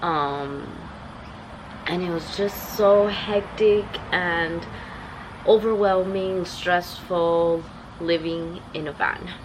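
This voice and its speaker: A woman's fairly low pitch at a very slow pace, with long, frequent pauses, fairly even intonation and noticeable background noise. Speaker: travel vlogger. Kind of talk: casual vlog talk to camera. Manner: low and weak.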